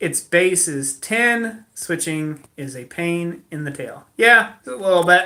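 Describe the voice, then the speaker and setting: Speaking very slowly yet with hardly any pauses, a man uses a high, bright, sharp voice with lively intonation and big swings in loudness. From moved around US as a kid. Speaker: blacksmith livestream host. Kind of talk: casual livestream chat. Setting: indoors at home, livestream.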